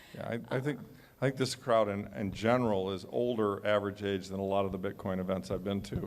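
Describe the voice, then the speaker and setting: A man with an ordinary speaking voice talks at a fairly quick pace, his fairly low pitch showing ordinary variation. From United States. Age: 60s. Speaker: author and panelist. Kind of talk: panel discussion.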